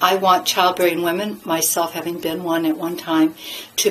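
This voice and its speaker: A woman with an American accent and fairly low pitch at a fairly quick pace, over noticeable background noise. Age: 60s. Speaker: midwife and former nurse. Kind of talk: monologue to camera. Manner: halting, with fillers and restarts.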